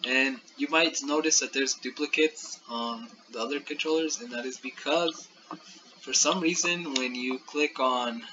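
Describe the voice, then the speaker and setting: A man with a fairly high pitch talks against noticeable background noise. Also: moderate pace. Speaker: student. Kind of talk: class project presentation. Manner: monotone.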